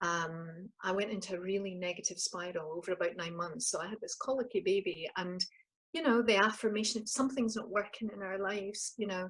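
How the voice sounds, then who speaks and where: A woman speaks at a fairly quick pace with a Scottish accent, her medium-pitched voice somewhat breathy and her pitch rising and falling in the usual way. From Scotland. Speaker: life coach. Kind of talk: interview, personal story.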